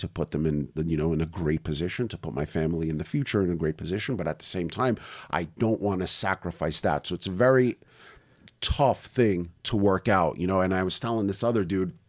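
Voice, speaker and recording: A man with a very deep, low pitch and a New York accent, fairly quick pace and ordinary pitch variation, in a very clean recording with a silent background. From US Northeast (Brooklyn, New York). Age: 40s. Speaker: online business owner. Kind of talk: podcast interview. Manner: casual.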